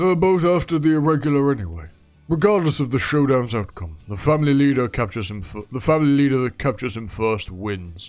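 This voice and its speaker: Doing a put-on character voice at a medium pitch, a man races along at a very fast pace with very wide pitch swings as faint music plays in the background. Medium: solo performance. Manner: commanding, brusque.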